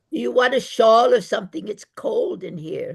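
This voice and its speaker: Using a put-on character voice, a man speaks at an extremely high pitch, raspy and at a moderate pace, with big swings in loudness. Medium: audio drama. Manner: blunt, cranky.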